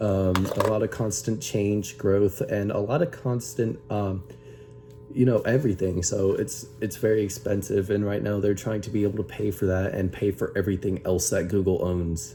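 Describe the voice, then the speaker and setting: Over music in the background, a man with a fairly low pitch speaks at a moderate pace with lively intonation. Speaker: YouTuber. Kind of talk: casual vlog commentary. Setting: home bedroom. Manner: halting, many fillers.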